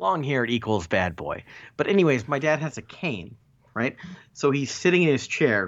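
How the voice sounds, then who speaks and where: A man talks at a moderate pace in a medium pitch, with vocal fry. His pitch swings very widely. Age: 30s. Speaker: podcast co-host. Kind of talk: casual chat.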